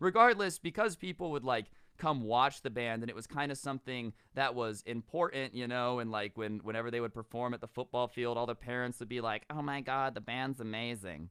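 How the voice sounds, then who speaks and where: An animated tone at a fairly quick pace, with ordinary pitch variation. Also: man, medium pitch for a man. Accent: American. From US West, Las Vegas. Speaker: storytime youtuber. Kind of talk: storytelling monologue. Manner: casual, animated.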